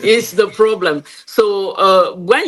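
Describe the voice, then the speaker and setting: With a French accent, a woman speaks at medium pitch with lively intonation. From Cameroon. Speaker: game creator and entrepreneur. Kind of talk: interview.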